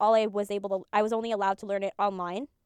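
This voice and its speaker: The voice carries a Spanish accent. The recording is very clean with a silent background, the sound dry and close with no echo. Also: woman. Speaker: vtuber streamer. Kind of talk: casual chat. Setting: live stream. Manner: halting, many fillers.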